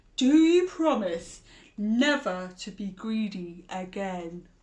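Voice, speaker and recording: At a very slow pace, a woman performs a put-on character voice at a medium pitch. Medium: read story. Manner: bellowing, stern.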